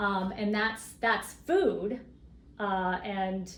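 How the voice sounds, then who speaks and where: A woman's medium-pitched voice with audible room echo. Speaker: co-op advocate. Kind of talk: casual interview.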